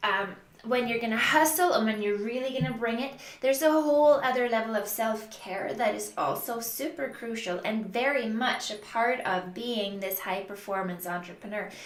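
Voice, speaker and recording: Fairly high female pitch with ordinary variation, a moderate pace, audible room echo and noticeable background noise behind a woman's voice. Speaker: business coach. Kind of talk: tutorial.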